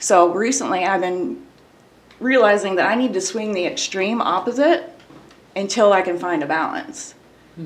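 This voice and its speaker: Here a woman talks in a normal speaking voice at medium pitch. Her intonation is lively and her pace moderate. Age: 30s. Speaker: abuse survivor sharing her story. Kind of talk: personal testimony in interview.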